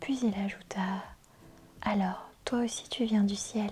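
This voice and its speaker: A woman speaks very slowly in a soft-spoken manner with a calm, gentle tone. Her pitch is fairly high, and noticeable background noise runs underneath. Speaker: ASMR reader. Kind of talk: soft-spoken book reading for relaxation and sleep. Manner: soft-spoken, calm, gentle.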